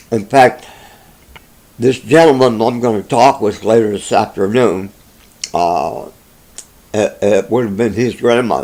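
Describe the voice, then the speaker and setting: A man with an American accent and a medium pitch, at a fairly slow pace with long, frequent pauses, over noticeable background noise. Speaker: interviewee recounting family history. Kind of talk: oral history interview. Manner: halting, many fillers.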